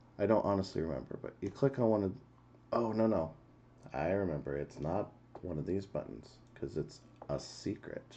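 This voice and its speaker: A soft-spoken man talks at a very deep, low pitch in a dark, mellow tone with vocal fry. His intonation is lively, broken by long, frequent pauses. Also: moderate pace. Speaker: game streamer. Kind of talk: live game stream commentary.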